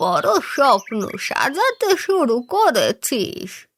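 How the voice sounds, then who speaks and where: A cartoonish character voice speaks at a very slow pace. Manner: solemn, cryptic.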